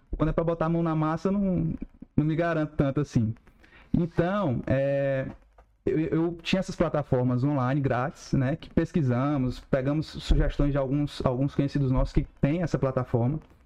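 An unremarkable speaking voice from a man, fairly high in pitch with fairly even intonation at a moderate pace. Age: 30s. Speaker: e-commerce business owner. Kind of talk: casual interview.

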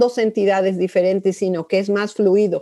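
Pitched in the medium range, the woman's voice has a dark, mellow tone. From Mexico City. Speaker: sociology professor. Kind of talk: interview.

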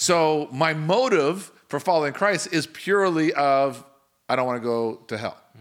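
On a very clean recording with a silent background, a man with a normal speaking voice, fairly high in pitch, talks at a moderate pace with lively intonation. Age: 40s. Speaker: pastor and podcast host. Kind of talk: casual chat.

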